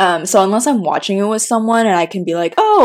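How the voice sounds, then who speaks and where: Fairly even intonation from a woman at medium pitch and a fairly quick pace. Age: 20s. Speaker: podcast co-host. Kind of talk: casual chat. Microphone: mics cutting out.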